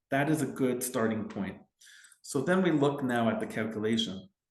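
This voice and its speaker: A man at medium pitch and moderate pace, with audible room echo. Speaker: family lawyer. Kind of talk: legal explainer tutorial. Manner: hesitant fillers and repetitions.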